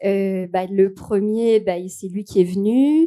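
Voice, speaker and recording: Over a quiet background, a woman speaks very slowly in a dark, mellow tone. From Quebec, Canada. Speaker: YouTuber and performer. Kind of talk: interview. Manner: hesitant, many fillers.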